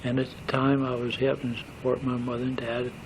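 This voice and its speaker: A medium-pitched man at a fairly quick pace, monotone and flat in intonation, over noticeable background noise. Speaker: war veteran; operating engineer. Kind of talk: oral history recollection. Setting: home tape recording. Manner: hesitant, rambling.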